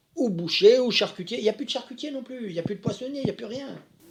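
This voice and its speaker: A man speaks with lively intonation. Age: 80s+. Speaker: master tailor. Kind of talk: interview. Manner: repetitive, halting.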